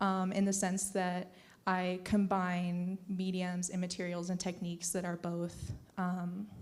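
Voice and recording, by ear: Her voice fairly low and slightly mellow, a woman speaks fairly slowly in a flat monotone.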